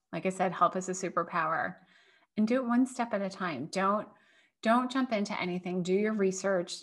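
With an American accent and a plain, everyday voice, a woman talks at a fairly quick pace with ordinary pitch variation, in a very clean recording with a silent background. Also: medium pitch for a woman. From US Northeast. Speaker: food allergy business owner and parent. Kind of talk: casual interview.

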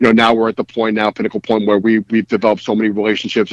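At a very fast pace, a man with a New York accent speaks in a fairly low, monotone, flat voice, with a dry, close sound and no echo. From New York City, Brooklyn (Bensonhurst). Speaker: cigar brand co-founder. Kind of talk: casual interview chat.

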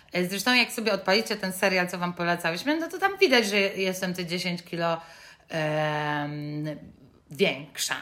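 At a moderate pace, a woman with a medium pitch speaks in a bright, sharp tone with ordinary pitch variation. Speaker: podcast co-host. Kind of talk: casual chat. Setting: recording at home in mother's apartment.

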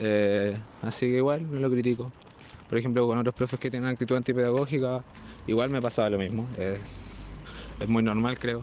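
With a Chilean accent, a man talks at a fairly quick pace and medium pitch, with fairly even intonation and long, frequent pauses. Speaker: vlogger. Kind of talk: casual monologue.

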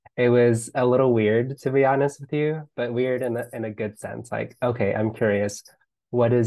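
A man with an American accent, medium pitch and fairly even intonation. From Los Angeles, US. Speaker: language teacher and business coach. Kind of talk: casual conversation.

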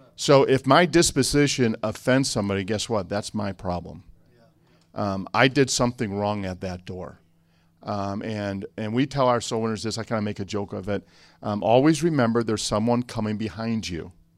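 Recorded very cleanly against a silent background, a man with an American accent and an ordinary speaking voice talks at a moderate pace, his fairly low pitch showing ordinary variation. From Chicago. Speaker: church staff member. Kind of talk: conference panel Q&A.

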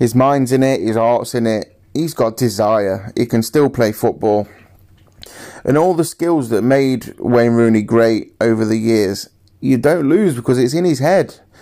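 A man speaks with ordinary pitch variation. His tone is dark and mellow. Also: very even loudness. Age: 20s. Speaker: football podcaster. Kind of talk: solo football podcast monologue.

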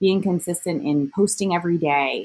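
A woman with a plain, everyday voice talks at a moderate pace and a fairly low pitch, her intonation lively, on a very clean recording with a silent background. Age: 30s. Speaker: digital magazine editor. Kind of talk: interview.

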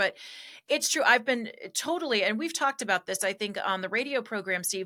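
Very fast speech with lively intonation and a bright, sharp tone comes through on a very clean recording with a silent background. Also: woman. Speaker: political commentator. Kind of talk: casual political discussion.

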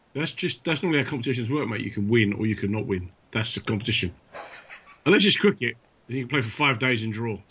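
Talking at a very fast pace with a British accent, a man shows ordinary pitch variation. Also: medium pitch for a man. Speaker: podcast co-host. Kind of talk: casual banter. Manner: animated, joking.

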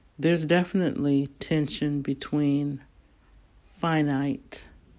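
On a very clean recording with a silent background, a woman with an American accent speaks in a very deep, low pitch, her dark, mellow tone held in monotone, flat intonation. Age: 60s. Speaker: inspirational speaker. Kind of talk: inspirational monologue.

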